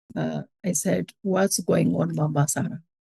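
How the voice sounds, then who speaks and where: A woman with an Ethiopian accent speaks at a fairly slow pace, with vocal fry and ordinary pitch variation. Her tone is dark and mellow, and the sound is dry and close, with no echo. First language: Amharic. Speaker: charity co-founder. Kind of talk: testimony. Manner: halting.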